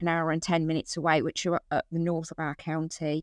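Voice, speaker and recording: A woman with an English accent and a fairly low pitch, in a dry, close sound with no echo and a quiet background. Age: 50s. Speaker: family support worker. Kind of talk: interview.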